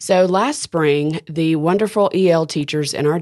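The voice carries a Southern US accent with ordinary pitch variation. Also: woman. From Alabama (Decatur). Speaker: school arts education director. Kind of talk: casual interview.

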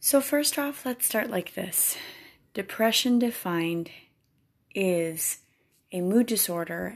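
Lively intonation from a woman at a very slow pace, on a very clean recording with a silent background. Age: 30s. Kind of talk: faith-based solo podcast talk. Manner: animated.

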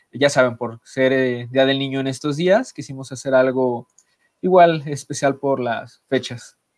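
Speaking at a fairly slow pace, a man uses a normal speaking voice of medium pitch and fairly even intonation. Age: 20s. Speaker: podcast co-host. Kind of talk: casual chat.

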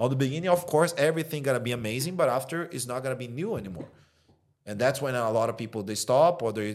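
Very fast, animated speech with lively intonation and a Brazilian accent. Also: man. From Brazil, Rio de Janeiro. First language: Portuguese. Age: 30s. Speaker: dating coach. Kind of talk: casual interview chat. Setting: studio. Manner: animated, blunt.

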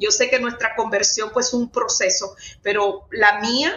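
A woman speaks at a fairly high pitch with fairly even intonation. Noticeable background noise sits behind her. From Dominican Republic. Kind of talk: faith testimony interview.

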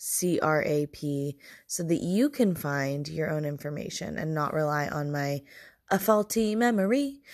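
Her pitch very deep and low, a woman talks at a fairly slow pace with lively intonation. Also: very clean recording, silent background. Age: 20s. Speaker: podcast host. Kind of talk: solo monologue. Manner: casual, rambling delivery.

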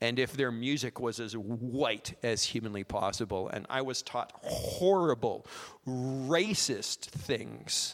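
A man with a medium pitch talks with a Western Canadian accent. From Canada, small-town Alberta. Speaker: lay preacher, former missionary. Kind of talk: sermon. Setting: church, holding a microphone.

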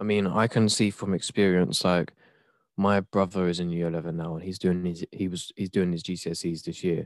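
The speaker has an English accent and talks at a fairly quick pace in monotone, flat intonation. The sound is dry and close with no echo, on a very clean recording with a silent background. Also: man, very deep, low pitch for a man. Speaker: twitch streamer. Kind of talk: casual chat.

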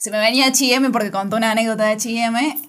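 Fairly high in pitch, a woman talks at a moderate pace in an unremarkable speaking voice. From Argentina, Córdoba. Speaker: podcast host. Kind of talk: interview. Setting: studio.

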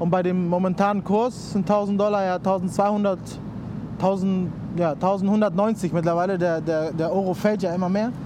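With a Spanish accent, a man speaks at a moderate pace in a high, flat monotone at very even loudness, with audible room echo and noticeable background noise. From Cuba, Havana. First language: Spanish (speaking German). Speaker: designer. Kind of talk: casual chat. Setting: outdoors at harbour fish auction hall.

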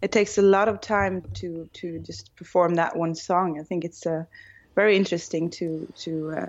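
Speaking at a moderate pace with a Norwegian accent, a woman uses a fairly low pitch, ordinary pitch variation and vocal fry. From northern Norway, small village. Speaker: rock singer. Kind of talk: interview. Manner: hesitant, many fillers.

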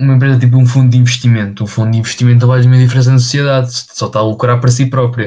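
A man talks at a very fast pace with hardly any pauses, in a dark, mellow, somewhat breathy voice. His pitch is medium, with monotone, flat intonation. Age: 20s. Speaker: podcast co-host. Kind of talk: casual chat.

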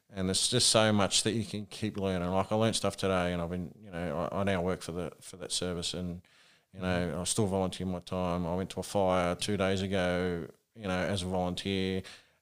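With an Australian accent, a man speaks fairly quickly in a very deep, low pitch. His intonation is monotone and flat, on a very clean recording with a silent background. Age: 40s. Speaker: rural firefighter. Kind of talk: casual interview.

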